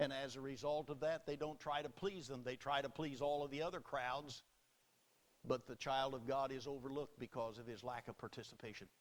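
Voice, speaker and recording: With a normal speaking voice, a man talks at a fairly quick pace in a fairly high pitch and with fairly even intonation. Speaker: Baptist preacher. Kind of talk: sermon delivered to a congregation.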